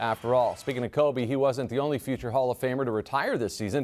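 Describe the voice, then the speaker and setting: A man talks in an upbeat tone with music in the background. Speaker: sports news anchor. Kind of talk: TV sports news broadcast. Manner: upbeat, fast, conversational.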